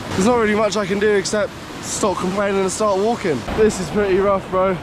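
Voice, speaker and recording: A man with a high pitch speaks at a fairly quick pace, with noticeable background noise behind him. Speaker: travel vlogger. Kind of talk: travel vlog narration. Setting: outdoors in mountains. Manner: casual, animated.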